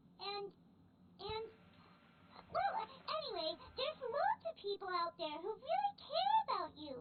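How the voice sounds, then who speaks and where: A squeaky, put-on character voice at a moderate pace, broken by long, frequent pauses. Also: female-sounding voice, extremely high pitch for a woman. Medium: video game. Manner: chatty, eager.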